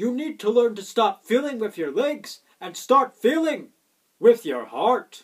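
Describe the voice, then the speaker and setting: A man talks at a fairly slow pace with an extremely high pitch and very wide pitch swings. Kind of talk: comic overacting, heroic declamation. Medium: comedy sketch.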